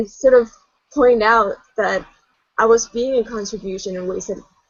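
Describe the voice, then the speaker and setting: A woman speaks at a moderate pace in a fairly high pitch. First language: multilingual: English, Spanish, Danish. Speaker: artist, book contributor. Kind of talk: casual interview conversation.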